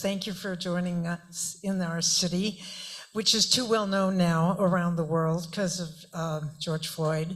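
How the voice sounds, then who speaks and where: A woman with a medium-pitched voice talks at a moderate pace, her intonation fairly even, while noticeable background noise fills the recording. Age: 70s. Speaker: audience member. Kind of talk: audience question.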